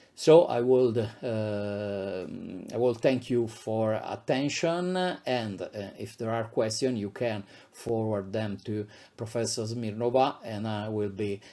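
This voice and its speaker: A man speaks very slowly in an Italian accent, his tone dark and mellow. His pitch sits in the middle range and rises and falls in an ordinary way. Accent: non-native, Italian. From Italy, Abruzzo. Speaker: psychiatrist and professor. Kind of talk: lecture. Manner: halting, many fillers.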